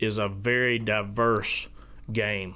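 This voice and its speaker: A man speaks with a Southern US accent in a fairly low pitch. His tone is bright and sharp, and his intonation is flat and monotone. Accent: Southern US (Georgia). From US South, South Georgia. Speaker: dog trainer and kennel owner. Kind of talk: interview.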